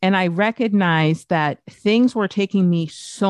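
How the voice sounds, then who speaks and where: A woman speaks in an ordinary speaking voice at a moderate pace. Her pitch varies in the usual way, over a quiet background. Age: 50s. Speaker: podcast strategist. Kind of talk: sales pitch; casual chat.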